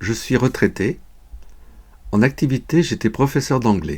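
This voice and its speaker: A man with a medium-pitched, creaky voice speaks very slowly with lively intonation, recorded very cleanly against a silent background. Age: 70s. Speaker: sport shooter, retired English teacher. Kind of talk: scripted explanation. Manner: formal.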